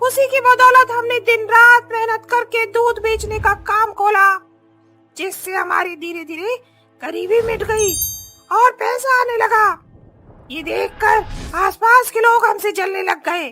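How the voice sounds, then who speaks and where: A female-sounding cartoonish character voice at an extremely high pitch for a woman moves at a fairly slow pace over faint music in the background. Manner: fierce, threatening.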